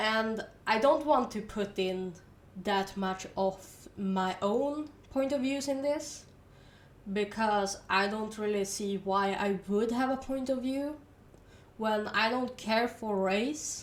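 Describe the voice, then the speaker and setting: The speaker talks at a very slow pace in a Swedish accent with ordinary pitch variation. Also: woman, fairly high pitch for a woman. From Sweden. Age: 20s. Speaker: university student. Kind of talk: casual educational monologue.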